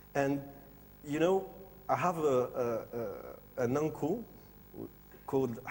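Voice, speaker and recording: A man with a French accent speaks at a fairly high pitch and a moderate pace, with ordinary pitch variation. There is audible room echo. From Morocco and France. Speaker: designer. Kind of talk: conference presentation. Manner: halting, many fillers.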